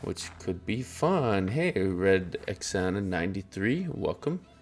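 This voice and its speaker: Music plays in the background. A man speaks with a fairly low pitch. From southern Alberta, Canada. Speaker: streamer and cosplayer. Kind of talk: casual live-stream chat.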